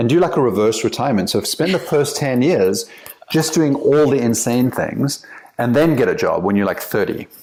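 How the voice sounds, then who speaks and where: With an American accent, a man speaks at a moderate pace in a fairly high voice, his intonation lively and his loudness very even. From South Africa. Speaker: company CEO and author. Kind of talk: podcast interview. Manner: casual, hesitant with fillers.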